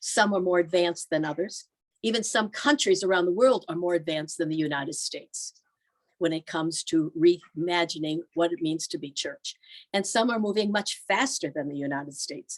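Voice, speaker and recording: Speaking at a fairly quick pace with an American accent, a woman uses an ordinary speaking voice in a fairly low pitch with ordinary pitch variation, in a dry, close sound with no echo. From US Northeast (Erie, Pennsylvania). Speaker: religious sister and pastoral institute leader. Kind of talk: presentation. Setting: video call.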